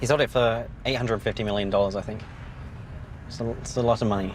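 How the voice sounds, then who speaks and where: A man's fairly low voice at a very fast pace, with vocal fry and fairly even intonation. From southern England, Kent. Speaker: startup founder. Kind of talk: documentary interview. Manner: hesitant, many fillers.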